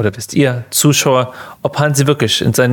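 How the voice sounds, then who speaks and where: A man keeps a moderate pace. His voice sits at a medium pitch. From Germany. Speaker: podcast host. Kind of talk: casual chat.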